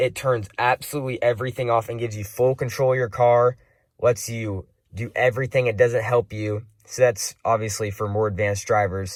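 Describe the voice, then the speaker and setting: Fairly quick and fairly even in intonation, this is a plain, everyday voice. The recording is very clean, with a silent background. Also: man, medium pitch for a man. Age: young. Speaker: car enthusiast vlogger. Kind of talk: casual review walkthrough. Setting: inside a car. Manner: casual, some stumbling.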